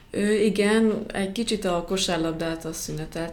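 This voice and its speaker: A woman's flat, monotone speech at a moderate pace, with audible room echo. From Hungary, Szekszárd. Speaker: professional basketball player. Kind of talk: interview.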